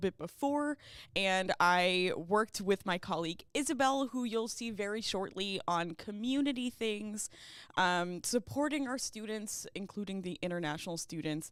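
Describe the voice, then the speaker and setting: A woman with an ordinary speaking voice, lively intonation, medium pitch and moderate pace, on a very clean recording with a silent background. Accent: American. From US, Baltimore. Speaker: university ethics coordinator. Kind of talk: livestream presentation. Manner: casual with many fillers.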